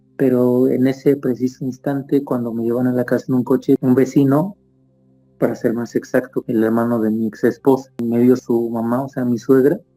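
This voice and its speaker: Over music in the background, a man speaks at a moderate pace and medium pitch with fairly even intonation. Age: 40s. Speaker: near-death experience witness, actor and opera singer. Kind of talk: testimony. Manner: halting, many fillers.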